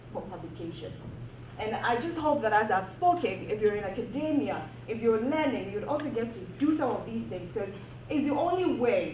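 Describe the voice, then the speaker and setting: Amid noticeable background noise and audible room echo, a woman talks at a fairly quick pace. Her pitch swings very widely. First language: a non-English African language. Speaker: academic panel speaker. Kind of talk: panel discussion talk. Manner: animated.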